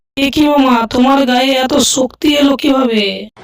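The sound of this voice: A cartoonish character voice, female-sounding and high-pitched, at a moderate pace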